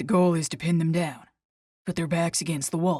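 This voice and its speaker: A woman's put-on character voice at a fairly low pitch, moderate pace and monotone, flat intonation. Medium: read story. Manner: clipped, matter-of-fact.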